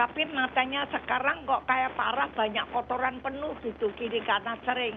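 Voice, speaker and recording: Noticeable background noise sits behind a woman with a high pitch. She keeps a moderate pace and fairly even intonation. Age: 80s+. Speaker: caller. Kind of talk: phone-in question. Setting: phone call. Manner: halting.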